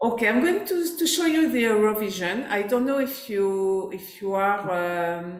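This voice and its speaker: A woman with a French accent, medium pitch, fairly slow pace and very wide pitch swings. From France. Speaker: life coach. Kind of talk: workshop presentation. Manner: halting, with fillers.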